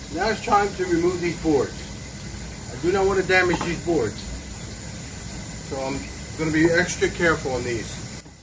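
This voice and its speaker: A man speaks at a moderate pace with a high pitch and ordinary pitch variation, leaving long, frequent pauses. Noticeable background noise and audible room echo fill the recording. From Puerto Rico. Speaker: DIY woodworking youtuber. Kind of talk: tutorial.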